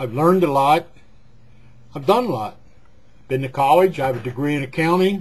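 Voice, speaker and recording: A somewhat breathy man with an American accent and a fairly high voice. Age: 60s. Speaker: retired gas station owner. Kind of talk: personal vlog monologue. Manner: rambling conversational with hesitations; talkative.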